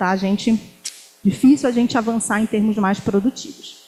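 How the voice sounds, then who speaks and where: A woman speaks at a moderate pace with fairly even intonation and a fairly high pitch. Noticeable background noise runs under her voice. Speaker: university professor. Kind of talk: academic talk. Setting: lecture hall with student audience.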